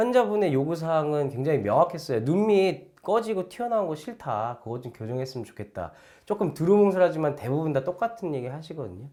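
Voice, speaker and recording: A man's fairly high voice has a dark, mellow tone and very wide pitch swings. He moves at a fairly quick pace with hardly any pauses in a very clean recording with a silent background. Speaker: plastic surgeon. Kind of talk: explainer video.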